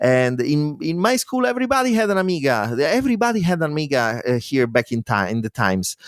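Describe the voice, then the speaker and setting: Speaking at a very fast pace with hardly any pauses, a man with an Italian accent uses a fairly high pitch and very wide pitch swings. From Italy. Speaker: demo coder and musician. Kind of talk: interview. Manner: halting.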